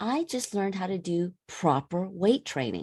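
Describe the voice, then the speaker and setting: A woman with an American accent, medium pitch, ordinary pitch variation and a dark, mellow tone, in a very clean recording with a silent background. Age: 50s. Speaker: women's wellness coach and personal trainer. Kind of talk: podcast interview.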